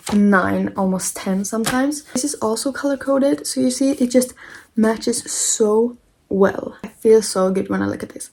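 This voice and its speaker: Speaking at a moderate pace in an unremarkable speaking voice, a woman keeps a fairly high pitch with ordinary variation. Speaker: book content creator. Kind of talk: tutorial.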